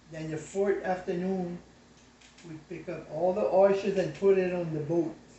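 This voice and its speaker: A man speaks at a high pitch with monotone, flat intonation. Noticeable background noise sits behind him. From South Louisiana Cajun. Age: 80s+. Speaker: craftsman, former oyster fisherman. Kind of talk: interview answer.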